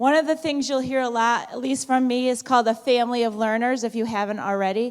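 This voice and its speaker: A woman speaks loudly at a very fast pace. Her pitch is high, and her intonation is fairly even. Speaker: high school principal. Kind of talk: school assembly speech. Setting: auditorium with student audience.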